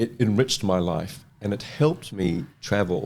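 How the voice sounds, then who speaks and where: A man with a New Zealand accent talks at a fairly low pitch. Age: 60s. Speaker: fashion model. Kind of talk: casual interview chat.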